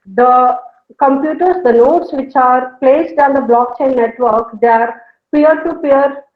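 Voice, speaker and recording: Speaking in a South Indian accent, a woman uses a high pitch with ordinary pitch variation. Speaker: professor. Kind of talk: lecture. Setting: online video call. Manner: fast.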